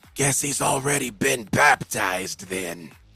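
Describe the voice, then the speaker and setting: A man's lively speech with an American accent at a moderate pace, with music in the background. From US South, Arkansas. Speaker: tabletop game master. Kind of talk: tabletop role-play narration.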